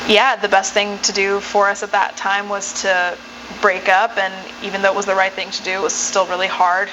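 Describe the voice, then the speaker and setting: A woman's medium-pitched voice in an American accent, at a moderate pace, over noticeable background noise. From mixed: Uganda, Ethiopia, then US for high school. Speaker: singer-songwriter. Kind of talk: interview.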